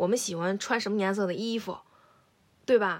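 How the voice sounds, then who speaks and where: In a very clean recording with a silent background, a woman speaks fairly quickly. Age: 30s. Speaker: podcast co-host. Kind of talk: casual chat.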